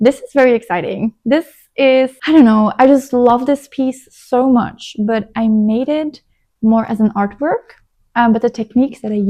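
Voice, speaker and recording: A woman with a non-native accent speaks at a fairly high pitch. The sound is dry and close, with no echo. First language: not English. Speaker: knitting vlogger. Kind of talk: casual chat. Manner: chatty; halting.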